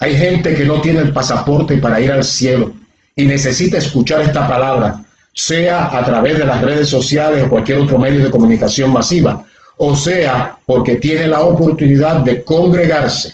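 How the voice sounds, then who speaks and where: Somewhat breathy and at a moderate pace, the voice keeps a very even loudness with ordinary pitch variation. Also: man, fairly high pitch for a man. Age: 60s. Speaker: pastor. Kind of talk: sermon. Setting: livestream on social media.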